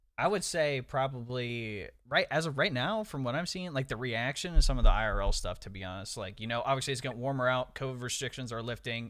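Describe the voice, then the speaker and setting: A man with an American accent talks at a very fast pace with hardly any pauses, his medium-pitched voice bright and sharp in tone. His loudness swings widely, and the recording is very clean over a silent background. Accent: Ohio half country. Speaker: gaming podcast co-host. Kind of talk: casual chat.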